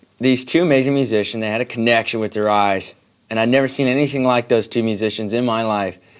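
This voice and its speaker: A man with a West Coast accent, medium pitch, fairly even intonation, and a very fast pace. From Oregon, US. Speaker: singer-songwriter. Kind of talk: interview. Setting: studio.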